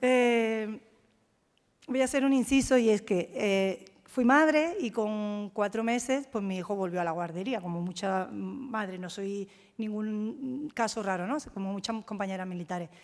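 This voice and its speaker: An unremarkable speaking voice from a woman, fairly high in pitch, with ordinary pitch variation at a fairly slow pace. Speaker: military officer. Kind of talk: talk.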